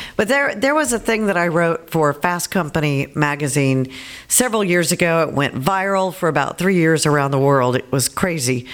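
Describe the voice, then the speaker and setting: With lively intonation and a fairly low pitch, a woman talks at a moderate pace in an unremarkable speaking voice. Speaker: former radio host, author, speaker, congressional candidate. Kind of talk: casual interview chat.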